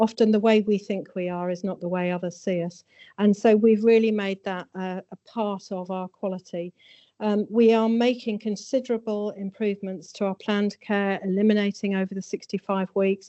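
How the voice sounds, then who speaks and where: A woman talks at a medium pitch with monotone, flat intonation. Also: moderate pace. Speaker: hospital chief executive with nursing background. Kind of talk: formal presentation. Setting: meeting room with audience. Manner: soft-spoken; hesitant, frequent fillers.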